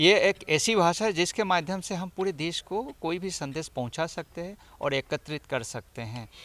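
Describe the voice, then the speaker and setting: A man with an Assamese accent talks with a high pitch and lively intonation. He takes hardly any pauses, and the sound is dry and close with no echo. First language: Assamese (speaking Hindi). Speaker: professor and language institute official. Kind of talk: interview. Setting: in Raipur.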